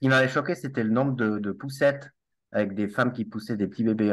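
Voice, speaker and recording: A man at a medium pitch, fairly quick pace and ordinary pitch variation, over a quiet background. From Switzerland (Valais, Alps). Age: 40s. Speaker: network marketer and finance director. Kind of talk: casual interview.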